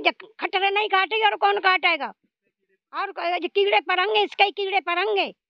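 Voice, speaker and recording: A woman with a rural Haryanvi accent speaks at a very slow pace in an extremely high pitch, her intonation fairly even, in a dry sound with no echo and a quiet background. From Haryana, India (Rohtak); Haryana, India. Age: old. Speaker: elderly pensioner. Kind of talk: interview, angry complaint. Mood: angry, scolding complaint. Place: open country. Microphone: handheld.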